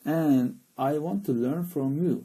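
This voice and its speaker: A man with a Turkish accent speaks at a very slow pace in a dark, mellow tone. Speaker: English teacher. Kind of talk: live stream chat. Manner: halting, many fillers.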